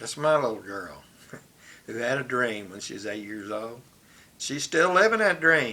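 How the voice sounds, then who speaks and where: This speaker talks with an American accent and lively intonation, pausing long and often. Loudness swings widely, and room echo is audible. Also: man, medium pitch for a man, moderate pace. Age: 70s. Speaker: vlogger. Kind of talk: personal monologue. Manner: reflective, conversational.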